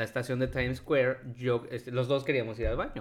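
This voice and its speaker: At a fairly quick pace, a man with an ordinary speaking voice talks at medium pitch. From Mexico. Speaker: podcast co-host. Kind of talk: casual chat.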